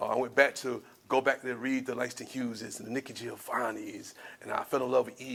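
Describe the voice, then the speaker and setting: Bright and sharp in tone, the man's voice carries an American accent. His delivery moves at a fairly quick pace. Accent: Southern twang, sometimes. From US South, Spartanburg, South Carolina. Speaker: spoken word artist. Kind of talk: storytelling talk to an audience.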